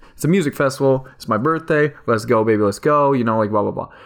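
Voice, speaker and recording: Pitch shifts in an ordinary way. The speaker is a man. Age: 20s. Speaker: podcast host. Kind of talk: solo personal monologue. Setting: home recording at microphone. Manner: fast.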